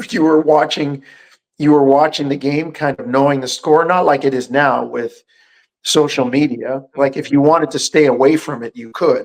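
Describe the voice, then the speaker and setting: Speaking at a moderate pace, this man has a fairly high pitch, fairly even intonation and a plain, everyday voice. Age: 60s. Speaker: basketball radio analyst. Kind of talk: casual sports talk.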